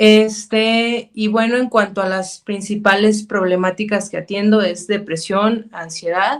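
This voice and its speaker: A woman speaks with a Mexican accent at a medium pitch. Her pace is fairly slow and her intonation fairly even. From Mexico, Zacatecas. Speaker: clinical psychologist. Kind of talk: interview.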